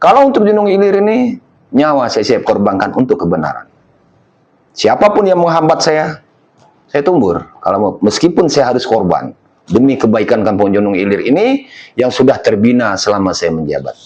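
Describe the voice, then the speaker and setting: A man with a Lampung accent, fairly high-pitched, at a moderate pace with very wide pitch swings. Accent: Lampung Indonesian accent, somewhat harsh. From Lampung, Indonesia. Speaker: village head. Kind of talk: documentary interview. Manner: forceful, emphatic.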